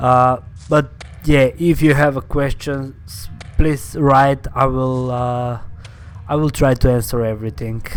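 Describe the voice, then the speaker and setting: Fairly slow speech with a non-native accent, music in the background. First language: not English. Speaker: gaming YouTuber. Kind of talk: gameplay commentary. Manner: hesitant, many fillers.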